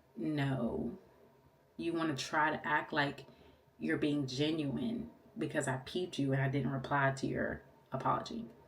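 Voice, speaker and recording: The delivery is fairly slow and animated in tone, broken by long, frequent pauses. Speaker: lash artist and vlogger. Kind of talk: storytime vlog.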